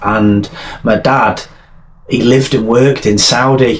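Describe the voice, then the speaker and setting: Speaking very slowly, a man has a strong Welsh accent and a medium pitch. His pitch variation is ordinary, and noticeable background noise can be heard. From North Wales. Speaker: army veteran and author. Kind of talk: interview testimony. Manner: halting, repeats words.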